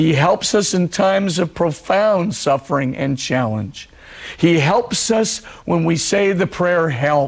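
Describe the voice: A man speaks slowly in a husky voice with vocal fry. His pitch is fairly high and his intonation lively.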